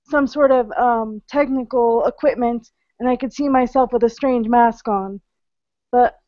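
Against a quiet background, a woman talks at a high pitch with fairly even intonation and a dry sound with no echo. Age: 30s. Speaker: webinar participant. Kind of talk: casual chat. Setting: online video call. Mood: calm, recalling dream experience. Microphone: video call.

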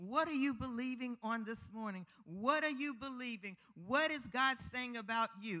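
Speaking fairly slowly, a woman uses a high pitch with a bright, sharp tone and ordinary pitch variation. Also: quiet background. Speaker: preacher. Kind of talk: sermon. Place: church. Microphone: handheld.

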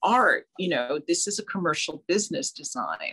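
A woman with an American accent talks at a moderate pace, making very wide pitch swings. The background stays quiet. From New Jersey. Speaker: fashion designer and artist; guest. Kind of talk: interview. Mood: warm, reflective. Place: home room. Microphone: video call.

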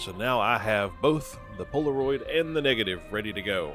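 A man's medium-pitched voice in a Southern US accent, with lively intonation and music in the background. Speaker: gaming YouTuber. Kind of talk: casual gameplay commentary.

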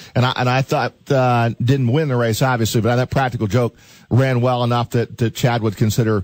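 In a very clean recording with a silent background and a dry, close sound with no echo, a man talks at a medium pitch and a fairly quick pace with fairly even intonation in a normal speaking voice. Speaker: radio show host. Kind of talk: radio interview questions.

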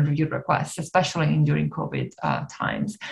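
A woman talks with an Italian accent. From Italy. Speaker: neuroscientist and nonprofit co-founder; presenter. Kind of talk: webinar presentation. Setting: video call. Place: home room. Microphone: webcam.

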